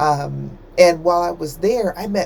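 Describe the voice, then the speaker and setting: Someone with an American accent speaks over noticeable background noise. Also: woman. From United States. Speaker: book reviewer, trained librarian. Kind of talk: book review monologue. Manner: casual, hesitant with fillers.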